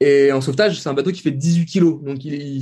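A man speaks in a dark, mellow tone at a fairly high pitch. His intonation stays fairly even. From France, Tours. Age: 30s. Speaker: kayak athlete. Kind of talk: casual interview. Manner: halting.

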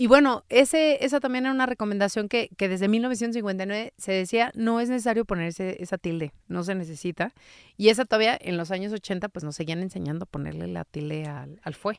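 Fairly quick with hardly any pauses, a woman speaks in a normal speaking voice of medium pitch with big swings in loudness, on a very clean recording with a silent background and a dry, close sound with no echo. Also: lively intonation. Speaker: linguistic consultant and copy editor. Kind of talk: interview.

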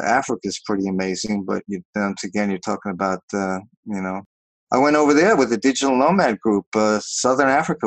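In a plain, everyday voice, a man with an American accent speaks at a moderate pace, with fairly low pitch and ordinary pitch variation. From New York. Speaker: business founder and vacation rental host. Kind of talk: interview.

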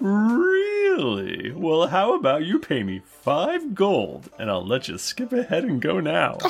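With music in the background, the speech comes at a fairly slow pace with hardly any pauses. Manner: exasperated, pushy about gold.

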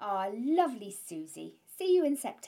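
In a British accent, a woman speaks with a dark, mellow tone and very wide pitch swings. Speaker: podcast host. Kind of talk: casual interview chat. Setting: home edit suite.

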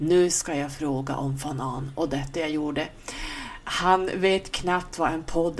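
A woman with a fairly low pitch talks at a fairly slow pace, noticeable noise behind her. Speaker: podcast host. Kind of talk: casual podcast talk.

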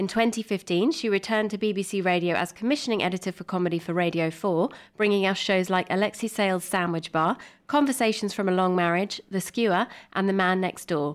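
A woman with a British accent speaks very fast at medium pitch with ordinary pitch variation. The recording is very clean, with a silent background. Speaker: podcast co-host. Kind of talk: casual interview with scripted reading.

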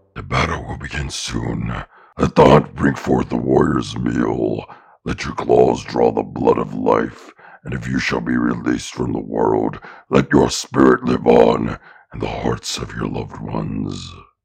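At a moderate pace, a put-on character voice delivers its lines in a monotone, flat intonation. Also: man, very deep, low pitch for a man. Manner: solemn, ritual formal speech.

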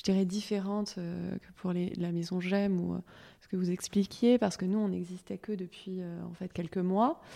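A woman speaks at a moderate pace in a dark, mellow tone with fairly even intonation. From Paris. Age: 30s. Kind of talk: round-table discussion.

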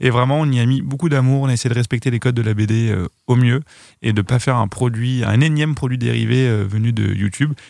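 Delivered at a very fast pace, the speech has fairly even intonation and very even loudness. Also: man, medium pitch for a man. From western France (Noirmoutier, Vendée). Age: 30s. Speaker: web video creator. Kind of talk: casual chat.

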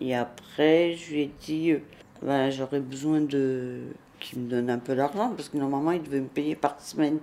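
At a moderate pace, a woman talks with a very deep, low pitch and fairly even intonation. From Naples, Italy. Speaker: crime victim witness. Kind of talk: testimony. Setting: at home. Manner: halting.

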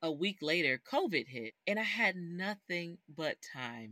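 The voice has a bright, sharp tone and lively intonation. It moves at a fairly slow pace in a dry, close sound with no echo. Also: woman. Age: 30s. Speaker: baker and bakery owner. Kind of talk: interview.

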